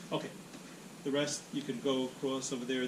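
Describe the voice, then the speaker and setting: The audio carries audible room echo and noticeable background noise. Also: man. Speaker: meetup speaker on agile. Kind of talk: presentation. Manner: fast.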